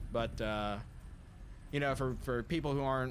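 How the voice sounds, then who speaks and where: In a room with audible echo, a man with an American accent speaks at a moderate pace with fairly even intonation. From Southeast Ohio, US. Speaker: game streamer. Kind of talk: casual live-stream commentary. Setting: live stream while gaming. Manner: halting, many fillers.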